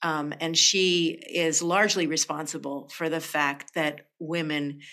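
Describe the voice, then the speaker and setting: Over a silent background in a very clean recording, a woman with a very deep, low pitch and a bright, sharp tone speaks at a very slow pace with fairly even intonation. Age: 60s. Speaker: poet and spoken word artist. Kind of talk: interview.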